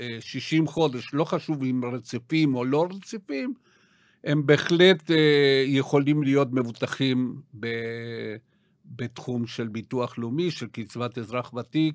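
The pace of this man's speech is fairly slow, with ordinary pitch variation. It is a very clean recording with a silent background. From South America. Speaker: retirement financial planner. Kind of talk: podcast interview. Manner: halting, many fillers.

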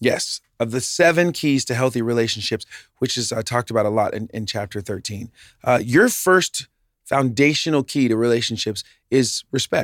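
This man has a normal speaking voice, medium in pitch, with ordinary pitch variation at a moderate pace. The recording is very clean and dry, with a close sound, no echo and a silent background. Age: 40s. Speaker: podcast co-host sharing his therapy journey. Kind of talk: casual chat.

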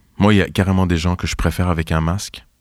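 A man speaks at a fairly quick pace with a very deep, low pitch and ordinary pitch variation. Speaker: writer and performer. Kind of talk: reading aloud. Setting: studio.

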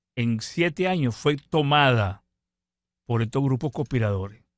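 In a very clean recording with a silent background and a dry, close sound with no echo, a man speaks fairly slowly at a fairly high pitch with lively intonation. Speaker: retired navy admiral, political exile. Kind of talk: radio interview.

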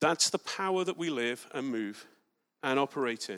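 On a very clean recording with a silent background and a dry, close sound with no echo, a man with an English accent speaks at a medium pitch with lively intonation. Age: 40s. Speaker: preacher. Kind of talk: sermon. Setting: church.

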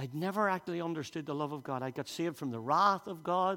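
This man has a Northern Irish accent and a fairly high pitch. He talks at a fairly quick pace with ordinary pitch variation. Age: 60s. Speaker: pastor. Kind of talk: sermon. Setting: church.

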